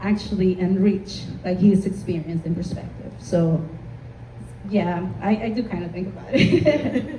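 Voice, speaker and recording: A woman talks fairly slowly at a medium pitch with ordinary pitch variation. There is audible room echo and noticeable background noise. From Honduras. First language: Spanish. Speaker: community panelist, marketing consultant. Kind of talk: panel discussion.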